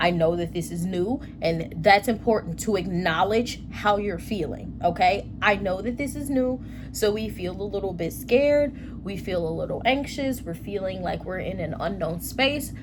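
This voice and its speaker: A woman at a moderate pace with audible room echo. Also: medium pitch for a woman, lively intonation. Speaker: tarot reader. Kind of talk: tarot reading. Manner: animated.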